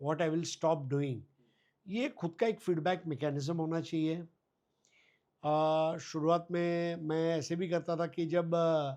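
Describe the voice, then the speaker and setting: Over a quiet background, a man speaks in a dark, mellow tone. His pitch is high and his intonation fairly even. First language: Gujarati (speaking Hindi). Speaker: cricket commentator. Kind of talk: interview. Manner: halting with frequent fillers.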